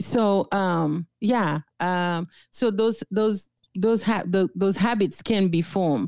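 The woman speaks very slowly at a medium pitch with ordinary pitch variation. Her loudness stays very even, and the sound is dry and close with no echo. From Haiti. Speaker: licensed clinical therapist. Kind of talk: interview.

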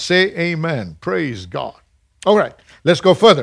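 A man's animated tone in a very clean recording with a silent background. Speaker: preacher. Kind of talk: sermon. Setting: live congregation in church. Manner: animated, exhorting pulpit delivery; call-and-response, urging the congregation to say amen.

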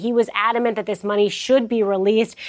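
An ordinary speaking voice from a woman, pitched fairly high and moving at a fairly quick clip. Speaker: news correspondent. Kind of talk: news report.

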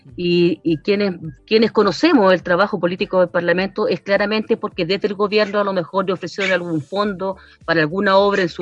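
A woman talks at a fairly quick pace in a normal speaking voice. Her pitch is medium, with ordinary pitch variation. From Chile, Valparaíso region. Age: 50s. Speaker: social worker and constituent assembly candidate. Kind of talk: radio interview.

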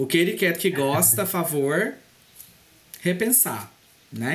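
The speaker has an animated tone and talks at a fairly slow pace with long, frequent pauses. Noticeable background noise runs underneath. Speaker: podcast co-host. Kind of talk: casual chat.

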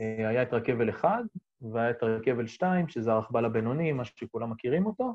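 Music plays in the background. The speaker talks at a fairly quick pace. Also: man, medium pitch for a man, ordinary pitch variation. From Israel, Golan Heights. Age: 40s. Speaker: ski business owner and skier. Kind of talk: casual interview.

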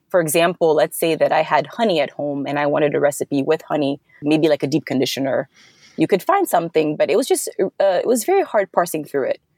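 A woman with a West African accent at a very fast pace, in a dry, close sound with no echo. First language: Fulani. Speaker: software developer, founder of side project. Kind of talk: casual interview.

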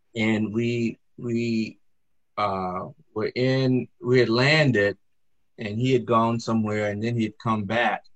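Very slow, monotone speech from a man with an American accent, medium in pitch, with flat intonation and a dry, close sound without echo. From US South, Greensboro, North Carolina. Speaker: Episcopal priest, retired Marine officer. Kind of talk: interview conversation.

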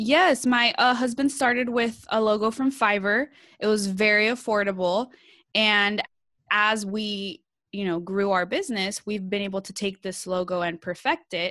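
With a Californian accent, a woman speaks at a moderate pace in a fairly high pitch, her tone bright and sharp and her pitch variation ordinary, on a very clean recording with a silent background. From California, San Jose Bay Area. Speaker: social media strategist. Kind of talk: casual interview. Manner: animated.

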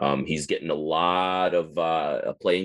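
Against a quiet background, a man with an American accent speaks at a very deep, low pitch in a monotone, flat intonation. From northern Wisconsin. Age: 30s. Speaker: baseball fan forum moderator. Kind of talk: casual interview.

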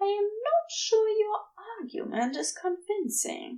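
A woman does a put-on character voice at an extremely high pitch with big pitch swings. Her tone is dark and mellow, and her pace fairly slow.

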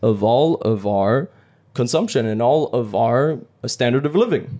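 Dark, mellow male tone, the pitch shifting in an ordinary way. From France. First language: French. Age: 20s. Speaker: French teacher. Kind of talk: casual chat.

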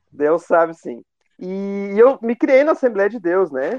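A man speaks at a fairly slow pace, his voice sounding dry and close with no echo. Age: 20s. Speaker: history teacher. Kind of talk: interview.

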